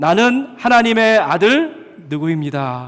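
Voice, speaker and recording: A man's put-on character voice, resonant, raised and projected, high-pitched, with very wide pitch swings at a fairly slow pace. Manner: loud, resounding.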